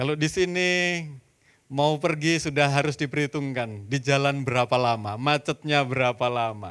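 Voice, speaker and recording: This man has a Javanese accent. His loudness stays very even, and his pitch varies in an ordinary way. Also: fairly high pitch for a man, moderate pace, very clean recording, silent background. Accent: Javanese-accented Indonesian. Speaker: pastor. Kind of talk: sermon. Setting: church.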